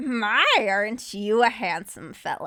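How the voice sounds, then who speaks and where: A female-sounding voice in a put-on character voice speaks at a fairly slow pace with fairly high pitch. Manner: fussy, flustered.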